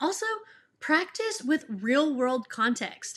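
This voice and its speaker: A fairly slow pace in an American accent. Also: woman. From Texas. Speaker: elementary school teacher, education YouTuber. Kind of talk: tutorial. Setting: home office. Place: home room.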